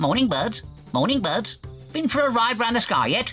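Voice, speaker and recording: Over clear music in the background, a man puts on a character voice at an extremely high pitch and a moderate pace. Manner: chirpy, squawky; cheerful.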